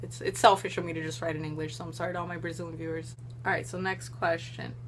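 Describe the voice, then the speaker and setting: Very fast speech with big swings in loudness, audible room echo and noticeable background noise. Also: woman. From Florida, US. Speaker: YouTuber. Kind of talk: casual Q&A vlog. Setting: at home. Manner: animated.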